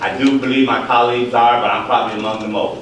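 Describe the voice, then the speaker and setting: Against noticeable background noise and audible room echo, a man talks rather quickly. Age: 60s. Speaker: county board member. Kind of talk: public meeting debate.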